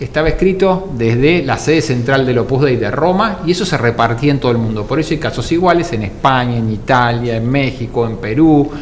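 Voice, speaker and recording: At a fairly quick pace and a medium pitch, a man talks with lively intonation and hardly any pauses, amid noticeable background noise and audible room echo. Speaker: co-host of talk show. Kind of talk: studio talk show discussion.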